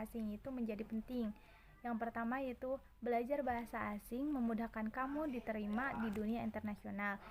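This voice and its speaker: Over noticeable background noise, a woman speaks quickly-ish at a fairly high pitch with monotone, flat intonation. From Subang, West Java, Indonesia. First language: Sundanese (speaking Indonesian). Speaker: university student. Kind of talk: class presentation.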